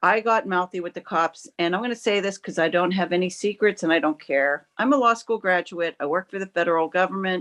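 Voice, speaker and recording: The woman has an unremarkable speaking voice, medium in pitch with lively intonation. She talks at a moderate pace in a dry, close sound with no echo. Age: 60s. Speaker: member of the public giving testimony at a hearing. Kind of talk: testimony. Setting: video call.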